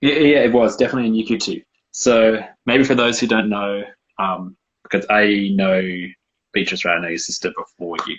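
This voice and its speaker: With an Australian accent, a man speaks at a medium pitch and fairly quick pace. His pitch variation is ordinary, and he takes long, frequent pauses. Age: 20s. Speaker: university student and childcare worker. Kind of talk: casual interview chat.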